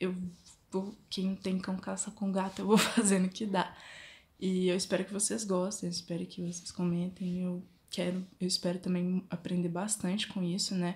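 Monotone, flat intonation at a moderate pace. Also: woman, medium pitch for a woman. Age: 20s. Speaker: fashion design student and drawing vlogger. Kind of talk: casual vlog intro. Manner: halting.

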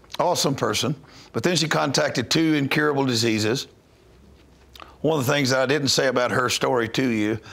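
With a Southern US accent, a man talks at a fairly quick pace with ordinary pitch variation. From North Louisiana, USA. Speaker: missionary minister. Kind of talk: interview answer. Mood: earnest, calm storytelling. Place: studio. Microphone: lapel.

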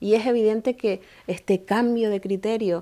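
A woman's dark, mellow voice with a Canarian accent and fairly even intonation. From Canary Islands, Tenerife (Granadilla); Canary Islands. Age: 30s. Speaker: mayor. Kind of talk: interview. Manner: formal. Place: office.

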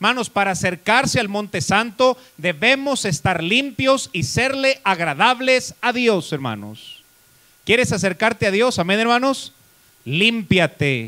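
A man projects a raised voice at a high pitch. His tone is bright and sharp, and his intonation is lively. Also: fairly slow pace. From Mexico. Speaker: pastor. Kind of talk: sermon. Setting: church. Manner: animated, preacherly, rhetorical questions to congregation. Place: church. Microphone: handheld.

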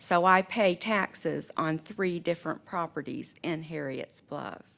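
A fairly slow pace in an unremarkable speaking voice. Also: woman, fairly low pitch for a woman, ordinary pitch variation. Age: 60s. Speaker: resident speaking in opposition. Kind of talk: public comment. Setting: county board meeting.

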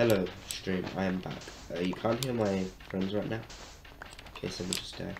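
A man with a fairly low voice talks fairly quickly, leaving long, frequent pauses. Noticeable noise sits in the background. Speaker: streamer. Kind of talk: casual livestream chat while gaming. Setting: live stream with voice call to friends.

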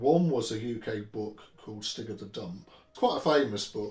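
A man's somewhat breathy, medium-pitched voice at a moderate pace, with ordinary pitch variation and audible room echo. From England. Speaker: Tolkien book collector; interviewee. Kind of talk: interview. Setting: at home. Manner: halting. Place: home room.

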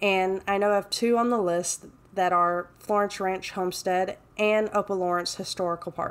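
In an American accent, a woman speaks in a normal speaking voice at medium pitch, her intonation fairly even. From Texas, Mesquite (Dallas area). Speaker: travel vlogger. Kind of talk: scripted narration.

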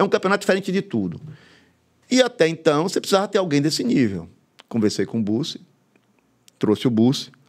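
Fairly high-pitched male voice with vocal fry and very wide pitch swings against a quiet background. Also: fairly quick pace. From Bahia, Brazil (interior, moved to Salvador at 14). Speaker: football club president; guest. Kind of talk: casual interview. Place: studio. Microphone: studio mic.

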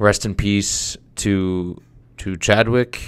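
With fairly level intonation, a man is talking. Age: 20s. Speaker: podcast host. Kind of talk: casual monologue. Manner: halting. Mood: somber, reflective. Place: studio. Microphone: studio mic.

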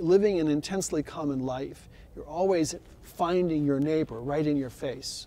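At a fairly slow pace, a man speaks in a dark, mellow tone over light background noise. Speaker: friar or priest of the church. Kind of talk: interview answer. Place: church. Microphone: lapel.

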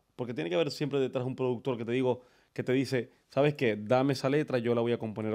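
A man talks at a very fast pace in a medium pitch. The background is quiet. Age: 30s. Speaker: podcast host. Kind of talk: casual chat. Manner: animated. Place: studio. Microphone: studio mic.

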